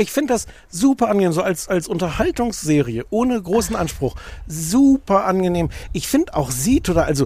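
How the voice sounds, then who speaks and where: Over noticeable background noise, a man speaks at a fairly quick pace in a high voice with very wide pitch swings. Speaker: podcast co-host. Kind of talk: casual chat. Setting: outdoors.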